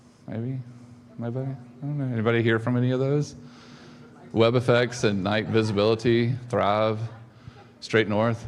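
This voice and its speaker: Delivered at a moderate pace, the speech has a monotone, flat intonation and long, frequent pauses. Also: man, medium pitch for a man. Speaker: conference speaker. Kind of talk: conference talk. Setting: stage with audience. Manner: halting, many fillers.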